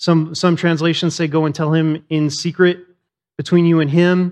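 Loud and high-pitched, a man is speaking. The background stays quiet. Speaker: pastor. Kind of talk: sermon. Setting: church. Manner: animated.

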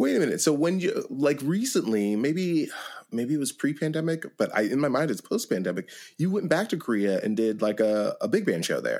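Talking at a fairly quick pace, a man with fairly high pitch makes very wide pitch swings. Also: very clean recording, silent background. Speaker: podcast host. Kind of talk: interview conversation.

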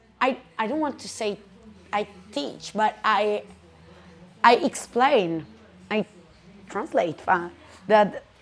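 Speaking in an Italian accent, a woman has a fairly high voice. Her pitch varies in an ordinary way. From Italy, Perugia. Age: 20s. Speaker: restaurant owner. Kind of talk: casual interview.

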